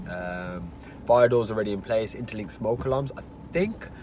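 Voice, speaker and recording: This is a plain, everyday voice. It moves at a fairly quick pace. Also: man. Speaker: property investor. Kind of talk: casual conversation.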